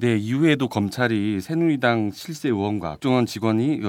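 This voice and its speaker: In a very clean recording with a silent background, a man has an ordinary speaking voice at medium pitch, with lively intonation. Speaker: reporter. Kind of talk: casual chat. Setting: studio.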